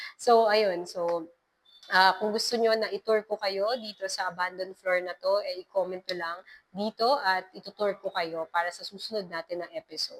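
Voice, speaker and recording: A woman speaks in a nervous tone at a medium pitch and a moderate pace, with fairly even intonation. The sound is dry and close, with no echo. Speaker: horror story podcaster. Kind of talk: casual commentary after reading a horror letter. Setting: abandoned hospital floor. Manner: nervous, hesitant delivery.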